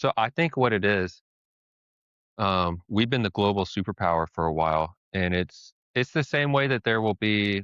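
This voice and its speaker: A man with an American accent speaks in a very deep, low pitch. The sound is dry and close with no echo, over a quiet background. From United States. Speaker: podcast co-host. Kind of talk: casual chat.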